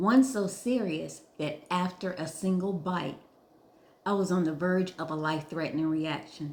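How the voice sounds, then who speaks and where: A woman with a plain, everyday voice talks at a fairly slow pace. Her pitch is fairly low, with ordinary pitch variation. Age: 60s. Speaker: food safety trainer. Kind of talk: scripted narration. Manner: formal.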